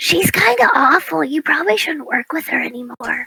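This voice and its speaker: In a put-on character voice, someone speaks raspy and fairly high-pitched at a moderate pace. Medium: actual play. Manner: earnest, literal, slightly awkward.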